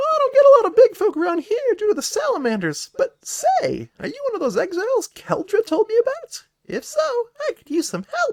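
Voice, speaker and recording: In a put-on character voice, a man speaks at a fairly quick pace, raised and projected, at an extremely high pitch. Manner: friendly, welcoming.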